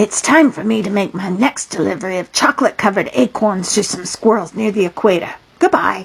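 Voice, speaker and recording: Using a put-on character voice, a woman speaks raspily at a medium pitch with lively intonation. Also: fairly quick pace. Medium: read story. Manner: polite, brisk.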